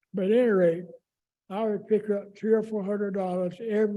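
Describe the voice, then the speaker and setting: A man talks with a Southern US accent. His tone is dark and mellow. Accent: Southern American. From Raleigh, North Carolina. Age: 80s+. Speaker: longtime neighborhood resident. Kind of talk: oral history interview answer.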